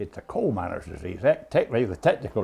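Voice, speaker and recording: In a Kentucky accent, the speaker talks at a fairly quick pace with a dark, mellow tone. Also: man. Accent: Southern US, Kentucky. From rural Kentucky. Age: 70s. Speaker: backwards speller. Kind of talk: casual interview answer.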